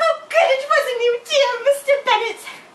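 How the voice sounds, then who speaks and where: A woman puts on a squeaky character voice, talking at a moderate pace with an extremely high pitch. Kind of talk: period costume drama. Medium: stage play. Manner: fretful, emphatic, exclamatory.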